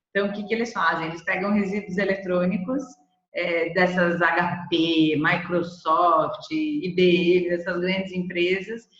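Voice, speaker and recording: A woman's medium-pitched voice, with ordinary pitch variation, unfolds at a fairly slow pace. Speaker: presenter from B Corp movement organization. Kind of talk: webinar presentation.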